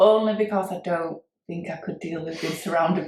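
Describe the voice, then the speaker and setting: The speaker has a Yorkshire accent and a moderate pace. The pitch varies in an ordinary way. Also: woman. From Wakefield, Yorkshire, England. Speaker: cover band singer. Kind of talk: casual chat.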